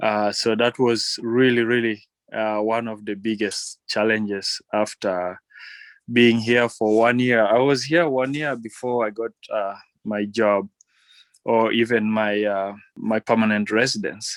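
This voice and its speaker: A man with a Ugandan accent, medium-pitched and fairly even in intonation, at a fairly slow pace, on a very clean recording with a silent background. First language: Ateso. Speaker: electrician. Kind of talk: interview.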